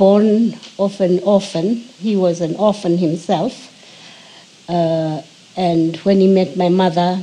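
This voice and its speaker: Very slowly, a woman speaks at a medium pitch with fairly even intonation. She takes long, frequent pauses. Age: 80s+. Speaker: interviewee recounting family history. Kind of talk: oral history interview. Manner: halting, with frequent hesitations.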